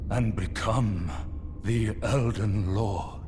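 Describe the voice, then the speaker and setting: Over loud background noise, a man puts on a cartoonish character voice with fairly low pitch. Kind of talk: epic fantasy prologue narration. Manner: slow, grave, archaic.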